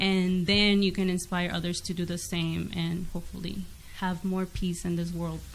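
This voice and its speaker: A woman speaks with monotone, flat intonation. Audible room echo hangs around her voice. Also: fairly low pitch for a woman, moderate pace. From Mexico. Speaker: dancer and domestic violence advocate. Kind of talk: interview testimony. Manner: halting.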